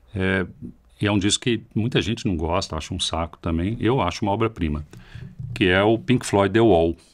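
A man speaks in an ordinary speaking voice at a fairly low pitch. His pitch variation is ordinary and his pace moderate. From Brazil. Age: 50s. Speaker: heavy metal guitarist; podcast guest. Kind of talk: casual chat. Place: studio. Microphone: studio mic.

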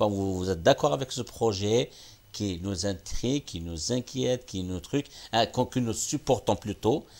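A man talks at a very slow pace. His intonation stays lively throughout. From Algeria, Kabylie; Algeria. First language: Kabyle (speaking French). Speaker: teacher and TV project founder; talk show guest. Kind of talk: interview. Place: studio. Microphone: lapel.

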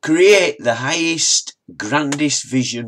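In a Yorkshire accent, a man speaks very slowly with very wide pitch swings, on a very clean recording with a silent background. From northern England, Wakefield, Yorkshire. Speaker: motivational vlogger. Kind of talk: motivational talk reading quotes. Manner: halting, repeats words.

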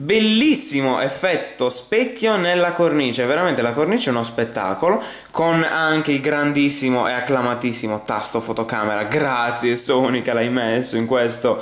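Audible room echo follows a man speaking at a moderate pace. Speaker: tech reviewer. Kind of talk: product review commentary. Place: home room. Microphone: camera far.

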